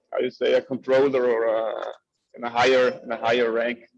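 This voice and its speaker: Medium-pitched man over music in the background. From Italy, South Tyrol (Bolzano). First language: German. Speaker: community member, translator. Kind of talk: group video call discussion. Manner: halting.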